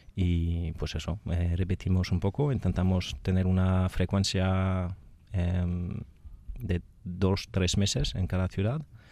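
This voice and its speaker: Very deep and low, this man's voice has a dark, mellow tone and very even loudness. His intonation is fairly even and his pace very slow. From France. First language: French (speaking Spanish). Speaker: speed dating event organizer. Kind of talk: radio interview. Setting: radio studio. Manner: halting.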